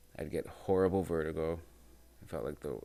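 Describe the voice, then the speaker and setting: Deep and dark, a man's voice sits at a very low pitch with a mellow tone, vocal fry and fairly even intonation. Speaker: podcast host and musician. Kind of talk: casual monologue. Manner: naturally loud.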